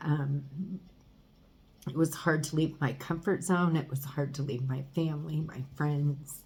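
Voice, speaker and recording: A woman with a very deep, low pitch speaks at a fairly slow pace in a somewhat breathy, flat monotone, leaving long, frequent pauses. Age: 50s. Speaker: vlogger. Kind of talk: personal video diary. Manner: halting.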